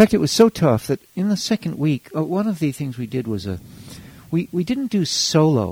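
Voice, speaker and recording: A man speaks fairly quickly in a dark, mellow voice with very wide pitch swings. The sound is dry and close with no echo. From Hawaii, US. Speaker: educator and former Peace Corps volunteer. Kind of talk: casual interview. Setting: pre-recorded interview, moves away from mic. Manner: animated.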